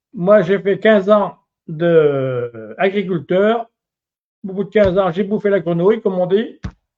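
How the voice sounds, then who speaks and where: A man with a high pitch. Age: 70s. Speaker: retired farmer and laborer. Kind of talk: street interview opinions. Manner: halting, many repetitions and fillers.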